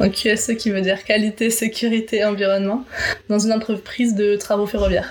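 Noticeable background noise accompanies a woman with a fairly high voice. She speaks fairly quickly with monotone, flat intonation. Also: very even loudness. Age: 20s. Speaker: quality and safety assistant. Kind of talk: casual interview.

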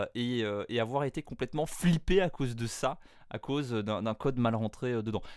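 Here a man talks in a normal speaking voice at a fairly slow pace with ordinary pitch variation. The recording is very clean, with a silent background. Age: 20s. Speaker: podcaster. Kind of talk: interview.

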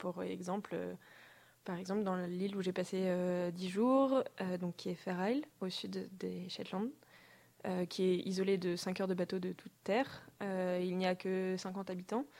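A woman speaks fairly slowly in a normal speaking voice, medium in pitch, with fairly even intonation. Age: 20s. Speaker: design student and traveler. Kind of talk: interview. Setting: studio.

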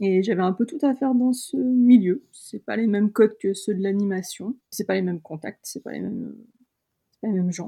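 Here a woman speaks at a moderate pace. Her voice sits at a medium pitch with ordinary pitch variation. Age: 30s. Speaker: illustrator. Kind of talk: interview. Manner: hesitant, many fillers.

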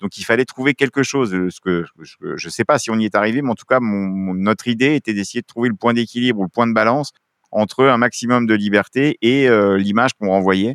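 A man talks at a fairly quick pace with medium pitch and ordinary pitch variation. The sound is dry and close, with no echo. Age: 50s. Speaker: film school director, former roller sport official. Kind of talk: interview. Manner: animated.

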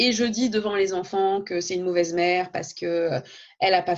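Here a woman talks at a moderate pace. Her voice sits at a medium pitch. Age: 30s. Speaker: teacher and blogger. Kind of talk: interview conversation. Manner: hesitant, with many fillers.

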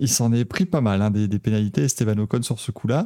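A man speaking at a fairly quick pace. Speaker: motorsport podcast host. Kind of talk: casual chat. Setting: video call. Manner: animated.

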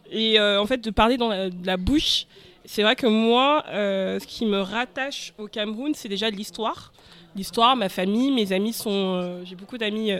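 A woman with a normal speaking voice talks at a fairly slow pace in a fairly high pitch, with ordinary pitch variation and big swings in loudness. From Cameroon, moved to France young. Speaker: podcast panelist, community event organizer. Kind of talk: casual chat.

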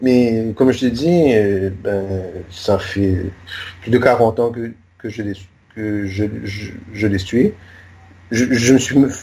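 Somewhat breathy, a man speaks at a very slow pace with long, frequent pauses, his medium pitch showing ordinary variation. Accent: Mauritian. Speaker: journalist, magazine founder. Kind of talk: interview. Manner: halting, many repetitions.

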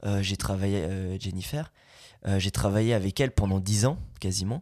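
A normal speaking voice from a man, fairly low in pitch with ordinary pitch variation, on a very clean recording with a silent background. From Belgium. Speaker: voice actor. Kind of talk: casual chat.

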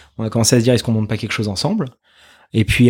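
A medium-pitched man's voice in a very clean recording with a silent background. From France, Paris region (Yvelines). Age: 20s. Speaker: media founder and communications director. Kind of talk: interview. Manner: hesitant, many fillers and repetitions.

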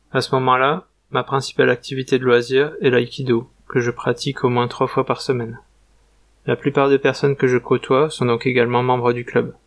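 At a moderate pace, a man speaks in a monotone, flat way at a medium pitch with very even loudness, the sound dry and close with no echo against a quiet background. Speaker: travel vlogger. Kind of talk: scripted narration.

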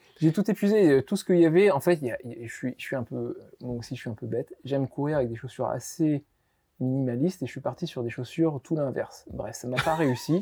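A man's fairly high, somewhat breathy voice with a dark, mellow tone and lively intonation, at a fairly quick pace in a dry, close sound with no echo. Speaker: olive oil producer. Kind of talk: interview.

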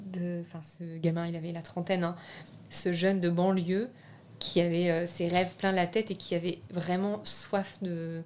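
A woman with an unremarkable speaking voice talks at a fairly slow pace. Her intonation is fairly even. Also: fairly low pitch for a woman. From France. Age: 20s. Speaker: film director. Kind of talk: interview.

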